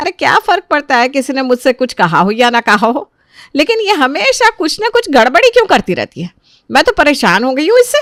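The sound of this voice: A woman puts on a character voice that is high and fairly bright, with big pitch swings, a fairly quick pace and few pauses, recorded dry and close with no echo.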